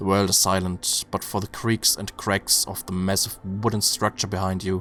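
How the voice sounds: Reading aloud in a natural reading voice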